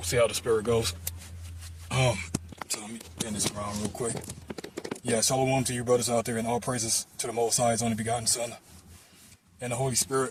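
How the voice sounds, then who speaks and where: Through noticeable background noise, a man talks at a very fast pace and a medium pitch. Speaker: religious vlogger. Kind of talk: casual religious monologue. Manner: casual, halting with fillers.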